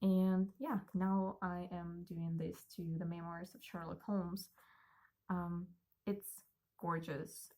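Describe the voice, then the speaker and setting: A somewhat breathy voice in a Russian accent. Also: woman. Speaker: book vlogger. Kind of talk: casual monologue.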